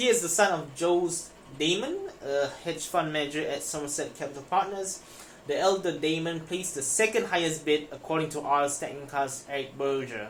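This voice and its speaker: Moderate pace and a non-native accent, with noticeable background noise. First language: not English. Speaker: finance news YouTuber. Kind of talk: reading news aloud with commentary. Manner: casual, self-interrupting.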